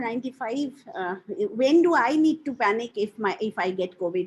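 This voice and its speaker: A woman speaks with very wide swings in pitch. Her voice is somewhat breathy. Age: 50s. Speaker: caller. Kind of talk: Q&A session. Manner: halting.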